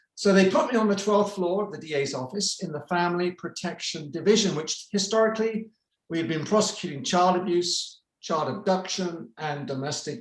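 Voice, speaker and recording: A man with a British accent and a high pitch, at a moderate pace with ordinary pitch variation. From United Kingdom. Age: 60s. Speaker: retired prosecutor. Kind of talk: presentation. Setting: video call.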